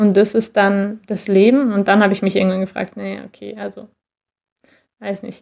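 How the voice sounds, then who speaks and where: The delivery is monotone and flat at a moderate pace, with long, frequent pauses and big swings in loudness. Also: woman, medium pitch for a woman. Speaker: former track athlete. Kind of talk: interview. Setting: remote call.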